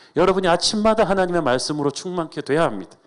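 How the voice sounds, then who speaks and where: Here a man is speaking. His pitch varies in an ordinary way. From South Korea, emigrated to US as teen. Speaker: pastor. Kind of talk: sermon. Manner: fast.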